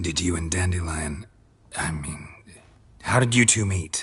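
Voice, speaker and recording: A man uses a put-on character voice with a very deep, low pitch, speaking at a moderate pace. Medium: video game. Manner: terse, dry.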